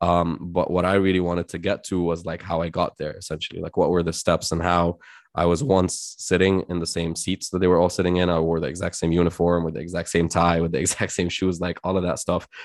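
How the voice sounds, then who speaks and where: A man with a very deep, low voice talks at a very fast pace, hardly pausing at all. His intonation is monotone and flat, and the recording is very clean with a silent background. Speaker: startup founder and entrepreneur. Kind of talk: casual interview.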